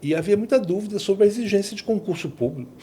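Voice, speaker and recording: A man at a fairly quick pace, with vocal fry and a dark, mellow tone. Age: 60s. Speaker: law professor. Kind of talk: podcast interview. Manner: hesitant, many fillers.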